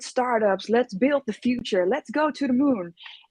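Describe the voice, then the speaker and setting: In a dry, close sound with no echo, a woman with a dark, mellow tone speaks with lively intonation at a moderate pace. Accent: Dutch. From Netherlands. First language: Dutch. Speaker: innovation consultant. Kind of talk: interview. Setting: live stream.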